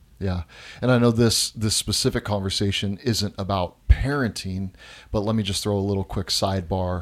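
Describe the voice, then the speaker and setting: A man talks in an unremarkable speaking voice at a moderate pace, his pitch fairly low and his intonation fairly even. The recording is very clean, with a silent background. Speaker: pastor and podcast host. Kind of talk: casual conversation between spouses.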